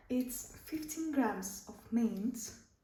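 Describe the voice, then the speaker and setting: Speaking at a very slow pace in a non-native accent, a woman has a fairly high pitch, with audible room echo and noticeable background noise. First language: not English. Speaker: cooking vlogger. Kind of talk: cooking tutorial. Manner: halting.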